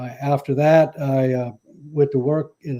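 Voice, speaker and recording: A man's fairly high voice with a dark, mellow tone and fairly even intonation, in a South Carolina Lowcountry accent over a quiet background. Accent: Southern US (South Carolina Lowcountry). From US South, Charleston, South Carolina. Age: 70s. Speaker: mayoral candidate. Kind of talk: interview. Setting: live radio/stream interview.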